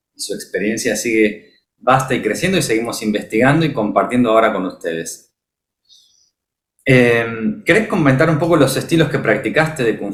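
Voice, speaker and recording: Speaking at a moderate pace, a man with a Rioplatense accent sounds somewhat breathy. His intonation is lively. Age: 30s. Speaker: martial arts practitioner. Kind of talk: casual chat.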